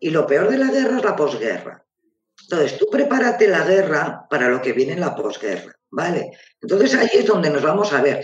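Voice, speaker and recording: A man speaks at a high pitch, his voice swinging very widely up and down. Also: moderate pace. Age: 50s. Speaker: real estate agency co-manager. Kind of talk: casual live interview. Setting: live online video stream.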